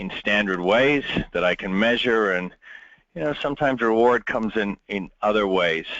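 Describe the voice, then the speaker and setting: With a strong American accent, a man talks at a moderate pace in a fairly low voice with ordinary pitch variation. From Britain. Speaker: business leadership speaker. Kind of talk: webinar presentation. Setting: webinar call. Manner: halting with many fillers.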